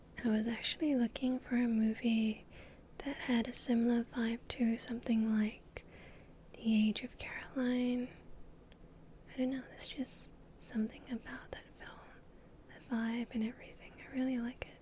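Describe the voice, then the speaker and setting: Soft-spoken delivery with long, frequent pauses. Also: moderate pace. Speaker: VTuber. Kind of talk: ASMR rambling talk.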